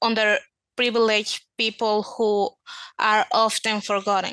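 A woman speaks fairly slowly with a non-native accent and a fairly high pitch. Her tone is bright and sharp, and the sound is dry and close with no echo. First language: not English. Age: young. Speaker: podcast interviewer. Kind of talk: interview. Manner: giggly.

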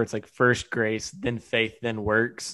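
A man against a quiet background. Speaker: podcast co-host. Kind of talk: casual interview.

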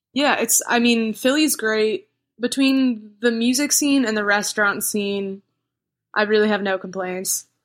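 This woman has a plain, everyday voice with a fairly high pitch. Her pitch variation is ordinary. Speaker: singer-songwriter. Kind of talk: casual chat. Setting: remote call.

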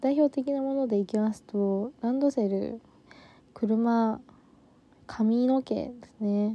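A woman with a fairly high pitch speaks in a gentle, dark, mellow tone with fairly even intonation. Her pace is very slow, broken by long, frequent pauses. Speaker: podcast co-host. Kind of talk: solo monologue. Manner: gentle, mellow.

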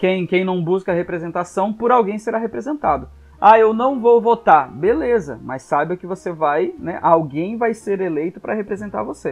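A man with a high pitch talks at a moderate pace with lively intonation and hardly any pauses. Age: 30s. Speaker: pastor and psychologist. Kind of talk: podcast interview.

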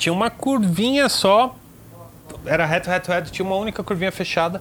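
This man's voice is high in pitch. His intonation is lively. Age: 30s. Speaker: motorcycle reviewer and mechanic. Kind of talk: casual chat.

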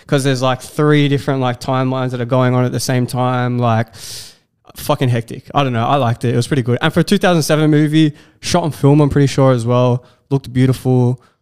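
Dry and close with no echo, this is a man at medium pitch with an Australian accent. He talks very fast, his intonation fairly even. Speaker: video creator. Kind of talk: casual chat. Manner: calm, not loud.

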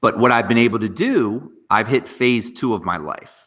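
On a very clean recording with a silent background, a man speaks in an energetic, animated tone. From northwest New Jersey. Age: 40s. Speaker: serial entrepreneur. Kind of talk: interview.

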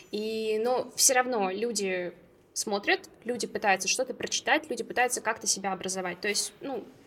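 A woman speaks in an unremarkable speaking voice at a fairly high pitch. Her pace is moderate, with ordinary pitch variation. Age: 20s. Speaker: plant-based food company co-founder. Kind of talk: casual chat.

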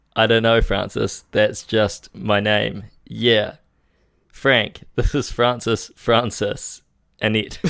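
A man's very slow, flat, monotone delivery, fairly low-pitched and full of vocal fry. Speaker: podcast co-host. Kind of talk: casual banter.

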